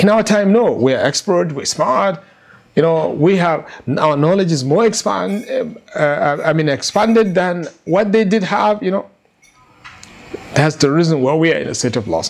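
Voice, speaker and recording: A man's high voice at a moderate pace with lively intonation. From Nigeria. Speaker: Islamic scholar and lecturer. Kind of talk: religious lecture. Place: home room. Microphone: lapel.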